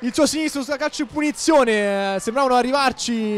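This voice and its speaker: Talking at a very fast pace, a man uses an extremely high pitch with ordinary pitch variation. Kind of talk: live sports commentary. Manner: fast, excited play-by-play delivery; animated, rising to shouted goal calls.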